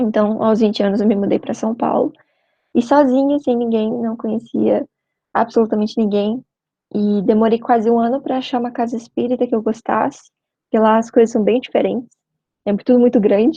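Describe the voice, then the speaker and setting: At a moderate pace, this is a plain, everyday voice with fairly even intonation. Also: woman, fairly high pitch for a woman. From Brazil, Curitiba (Paraná). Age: 20s. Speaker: veterinary student and spiritist youth speaker. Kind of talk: short talk / mini-lecture. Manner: conversational, informal.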